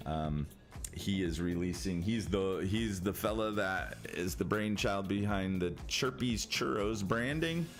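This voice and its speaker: With music in the background and audible room echo, a man with an American accent speaks at a fairly slow pace in a very deep, low pitch. His intonation is lively and his loudness very even. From Michigan. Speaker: gaming streamer. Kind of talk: casual chat. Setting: live stream. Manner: halting.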